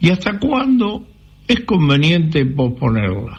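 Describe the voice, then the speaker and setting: A man at a very slow pace, with very wide pitch swings and noticeable background noise. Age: 80s+. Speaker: caller. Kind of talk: recorded listener question.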